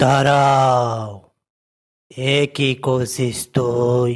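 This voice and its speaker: A man speaks in a cartoonish character voice at a medium pitch. His intonation is monotone and flat. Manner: stern, preachy, uses intimate "tui" address.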